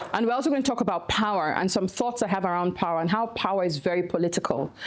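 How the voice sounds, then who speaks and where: Speaking at a very fast pace in a Nigerian accent, a woman uses a fairly low pitch with ordinary pitch variation. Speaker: activist and nonprofit director. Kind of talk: conference talk.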